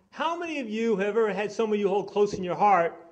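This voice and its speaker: A man with an American accent at a very fast pace. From New York. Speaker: conference speaker. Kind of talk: public speech. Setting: conference hall with audience. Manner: animated.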